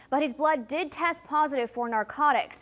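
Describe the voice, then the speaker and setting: At a moderate pace, a woman with an American accent speaks in a high pitch over noticeable background noise. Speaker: TV news anchor and reporter. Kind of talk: studio anchor news desk read.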